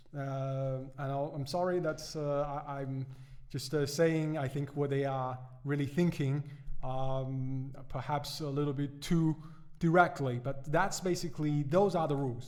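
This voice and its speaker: Audible room echo follows a man who talks at a fairly high pitch and a fairly slow pace, his intonation fairly even. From China. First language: Chinese. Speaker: economics podcaster. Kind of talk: podcast commentary. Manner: halting, many fillers and repetitions.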